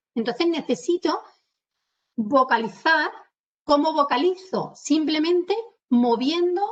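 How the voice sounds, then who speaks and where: A woman with an Andalusian accent speaks at a fairly slow pace with lively intonation. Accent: Andalusian, drops s sounds. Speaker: communication trainer. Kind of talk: webinar lecture. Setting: video call webinar. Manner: animated.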